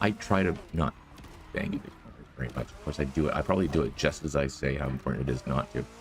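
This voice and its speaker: A man mumbles at a very fast pace in a very deep, low pitch. His loudness swings widely, and noticeable background noise sits behind him. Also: ordinary pitch variation. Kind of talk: gaming live stream commentary. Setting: monitor speakers, poor mic setup. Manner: mumbling.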